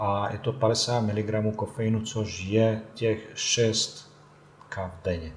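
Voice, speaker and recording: A man talks at a very slow pace in a fairly low, somewhat breathy voice. Audible room echo surrounds the recording. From Bosnia and Herzegovina. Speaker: coffee expert, café owner. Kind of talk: interview.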